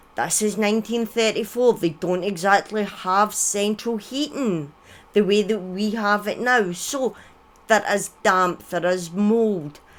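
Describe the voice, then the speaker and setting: With a Scottish accent, a woman speaks at a very slow pace. Her voice sits fairly high. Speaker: streamer. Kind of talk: storytelling on live stream. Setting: live stream with chat.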